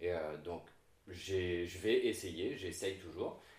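A man with a very deep, low pitch sounds somewhat breathy amid audible room echo. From Réunion (La Chaloupe Saint-Leu area). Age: 20s. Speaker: content creator. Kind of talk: casual chat.

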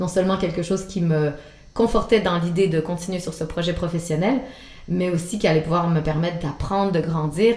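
A woman with a Quebec accent, fairly low in pitch, at a fairly quick pace. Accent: Québécois French. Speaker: antiques dealer. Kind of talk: interview. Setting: her showroom. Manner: hesitant, with many fillers.

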